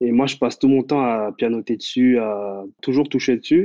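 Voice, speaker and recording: A man's voice, an ordinary speaking voice, with ordinary pitch variation. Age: 20s. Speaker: web developer. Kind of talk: interview.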